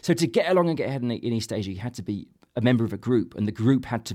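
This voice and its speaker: A very fast-talking man with a medium pitch, a dark, mellow tone and lively intonation, in a very clean recording with a silent background. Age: 40s. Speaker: author. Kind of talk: interview. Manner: halting.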